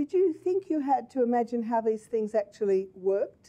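A woman speaks in a fairly high pitch with a dark, mellow tone. Her intonation is lively and her pace moderate. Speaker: interviewer. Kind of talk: interview over video call. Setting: video call. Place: office. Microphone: headset.

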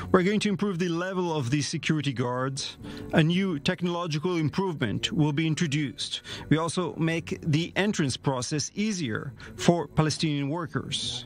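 Over faint music in the background, a man speaks at a moderate pace with ordinary pitch variation in a dry sound with no echo. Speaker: city mayor. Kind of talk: interview answer. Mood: serious, measured. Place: office. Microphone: lapel.

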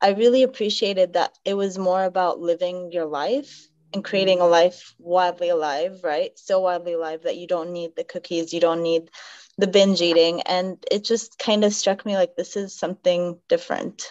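A woman at a moderate pace, intonation fairly even, over a quiet background. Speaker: podcast guest. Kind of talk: interview answer. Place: home room. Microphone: video call.

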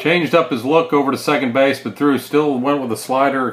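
Music plays in the background. A man of medium pitch speaks at a moderate pace. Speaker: baseball broadcaster. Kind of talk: live baseball play-by-play commentary. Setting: press box. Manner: brisk, animated pitch-by-pitch calling.

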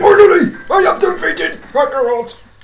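In a put-on character voice, a man speaks at a moderate pace, his pitch extremely high and swinging very widely. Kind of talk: posh. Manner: triumphant.

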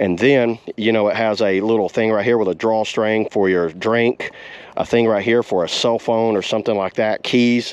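Speaking at a moderate pace with few pauses, a man has a clear, smooth tone, a fairly low pitch and fairly even intonation.

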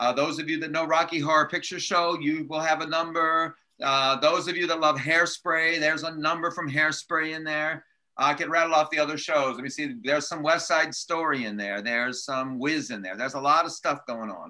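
In a quiet background, a man talks at a fairly quick pace with hardly any pauses, his tone bright and sharp. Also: ordinary pitch variation. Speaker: church leader hosting the meeting. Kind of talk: casual announcements. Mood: upbeat, laughing. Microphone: video call.

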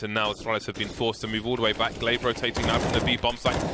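A man with a fairly low pitch talks very fast over noticeable background noise. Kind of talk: esports live commentary. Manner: fast, excitable play-by-play.

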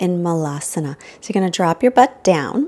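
Her voice is pitched fairly low, and this woman has a dark, mellow tone. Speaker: yoga instructor. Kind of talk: guided yoga instruction. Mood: calm, soothing guidance.

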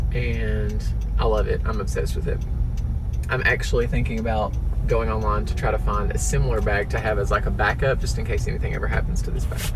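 The pace of this man's speech is very fast. There is noticeable noise in the background. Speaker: vlogger. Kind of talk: casual vlog chat. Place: car. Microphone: phone near.

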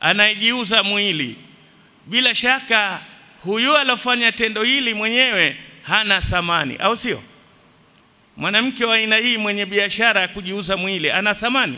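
Projecting his raised voice, a man speaks at a fairly slow pace with ordinary pitch variation. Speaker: religious teacher. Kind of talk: sermon. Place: church. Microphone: podium.

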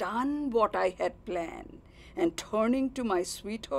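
The intonation rises and falls in a lively way. It comes across as a natural reading voice.

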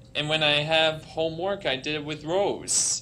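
A man with an American accent talks at a moderate pace in a fairly high voice. His intonation stays fairly even over light background noise. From US Northeast, New York; US Northeast. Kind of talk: prepared speech. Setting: conference stage with audience. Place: hall. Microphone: podium.

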